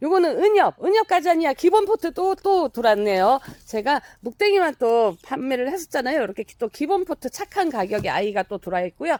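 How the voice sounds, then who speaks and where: The delivery is fairly quick with hardly any pauses, on a very clean recording with a silent background. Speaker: plant nursery seller. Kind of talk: sales pitch. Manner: fast.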